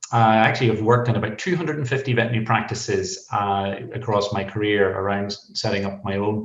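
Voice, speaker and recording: This man has a Northern Irish accent, a medium pitch, a somewhat breathy voice, fairly even intonation and a fairly quick pace. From Northern Ireland. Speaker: veterinarian. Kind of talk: podcast interview.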